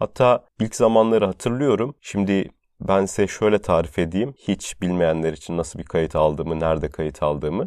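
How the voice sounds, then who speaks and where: With lively intonation and a moderate pace, a man speaks in a very deep, low voice, the sound dry and close with no echo and the background quiet. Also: hardly any pauses. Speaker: podcast host and medical intern. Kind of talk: solo podcast monologue. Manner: fluent.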